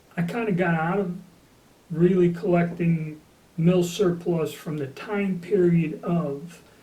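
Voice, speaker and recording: Over noticeable background noise and audible room echo, a man with an American accent speaks very slowly in a high voice with fairly even intonation. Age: 60s. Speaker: gun collector. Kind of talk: casual talk to camera. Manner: casual, with fillers.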